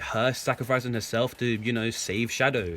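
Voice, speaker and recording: A man speaks in a bright, sharp tone. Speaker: YouTuber. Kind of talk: casual commentary. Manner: stutters.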